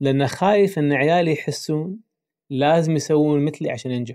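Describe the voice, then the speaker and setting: Speaking in a Kuwaiti accent, a man has a fairly high pitch and a dark, mellow tone with ordinary pitch variation. The recording is very clean, with a silent background. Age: 50s. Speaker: psychologist and podcast host. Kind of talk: casual interview.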